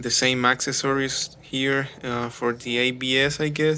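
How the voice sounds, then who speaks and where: A man of medium pitch with a non-native accent, fairly slow and monotone with flat intonation. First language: not English. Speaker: car DIY youtuber. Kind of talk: tutorial. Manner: hesitant, many fillers.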